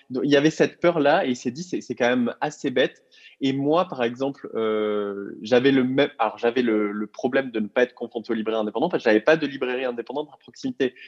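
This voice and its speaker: Talking at a very fast pace, a man with a medium pitch and ordinary pitch variation comes through in a dry, close sound with no echo. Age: 30s. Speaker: co-founder of a book subscription box. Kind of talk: interview. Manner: hesitant with frequent fillers.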